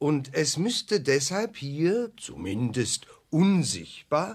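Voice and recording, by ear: Using a put-on character voice, a man speaks slowly at a fairly high pitch with big pitch swings and a slightly husky edge.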